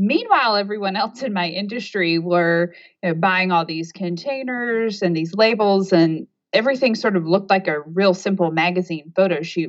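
A woman with an ordinary speaking voice, medium in pitch, with ordinary pitch variation and a moderate pace. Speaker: organizational coach. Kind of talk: casual interview chat. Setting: phone or video call.

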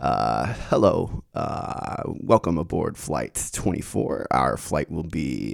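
A man's put-on character voice, very deep and low and nasal, with very wide pitch swings at a very slow pace.

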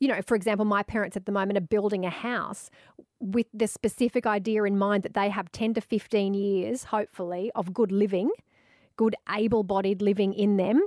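A woman with an Australian accent, fairly quick and medium-pitched, monotone and flat, on a very clean recording with a silent background and a dry, close sound with no echo. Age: 40s. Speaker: radio host and author. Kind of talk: casual interview chat.

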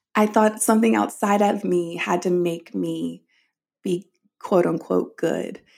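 A woman with an American accent and an unremarkable speaking voice speaks at a fairly slow pace in a fairly low voice, her pitch varying an ordinary amount. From US South. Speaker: author. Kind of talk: interview.

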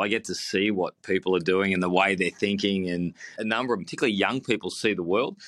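A man with an Australian accent, fairly low-pitched, talking at a very fast pace on a very clean recording with a silent background. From Melbourne, Australia. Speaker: engineer and business founder. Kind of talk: interview. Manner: halting, many repeated words.

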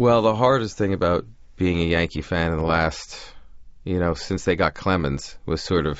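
A man with an American accent, very deep and low in pitch, at a fairly quick pace. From New York, Long Island (Great Neck). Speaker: TV writer and producer. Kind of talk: casual interview. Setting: studio.

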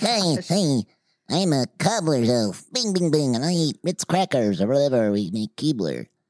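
Put-on character voice at a low-to-middle pitch and moderate pace. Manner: chipper, cartoonish.

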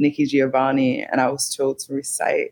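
With an American accent, a woman speaks in a very deep, low pitch. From Newark, New Jersey. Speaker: poet. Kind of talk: interview.

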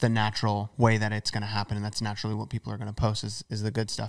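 A man speaks with an American accent at a medium pitch. The recording is very clean, with a silent background. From United States. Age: 20s. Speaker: YouTuber and author. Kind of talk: casual interview chat.

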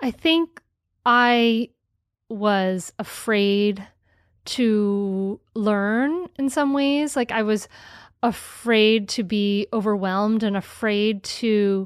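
A woman's fairly high voice, with ordinary pitch variation, is heard in a dry, close sound without echo against a quiet background. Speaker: podcast host. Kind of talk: interview. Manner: animated.

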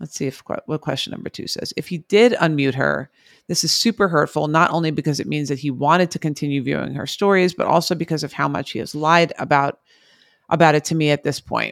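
A woman speaks at a very fast clip in a very deep, low voice with vocal fry and ordinary pitch variation. The sound is dry and close with no echo, and the recording is very clean over a silent background. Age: 40s. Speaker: psychologist podcast co-host. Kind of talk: casual chat.

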